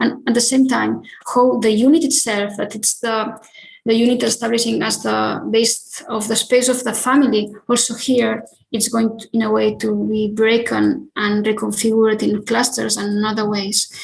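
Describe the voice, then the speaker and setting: A woman's somewhat breathy, fairly high voice, flat and monotone, at a moderate pace with audible room echo. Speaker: architect. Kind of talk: lecture. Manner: halting, many filler sounds.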